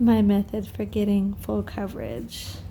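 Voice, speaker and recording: Whispered words from a woman. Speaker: nail business owner doing tutorial. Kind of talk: tutorial. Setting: at home. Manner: whispering; casual.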